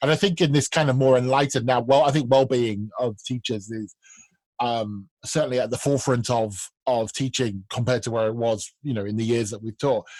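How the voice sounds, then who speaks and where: This man has an unremarkable speaking voice at a medium pitch with ordinary pitch variation. He talks at a fairly quick pace. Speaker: podcast host for language teachers. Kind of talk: casual chat.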